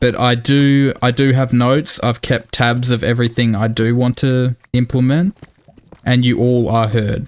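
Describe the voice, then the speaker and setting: Speaking at a fairly slow pace with an Australian accent, a man keeps a medium pitch, monotone, flat intonation and very even loudness. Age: 20s. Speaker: gaming YouTuber. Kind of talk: gameplay commentary. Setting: home recording with headset.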